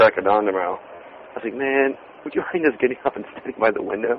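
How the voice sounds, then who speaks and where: With noticeable background noise, a man in an American accent talks at a very fast pace and a medium pitch. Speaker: podcast co-host. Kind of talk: casual chat. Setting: phone booth on a street in London. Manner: animated.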